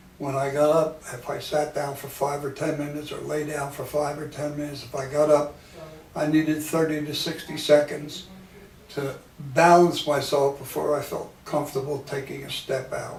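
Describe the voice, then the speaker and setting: Delivered at a moderate pace in a monotone, flat intonation, the speech has big swings in loudness, with noticeable background noise and audible room echo. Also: man, fairly high pitch for a man. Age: 80s+. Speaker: patient. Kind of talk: testimony.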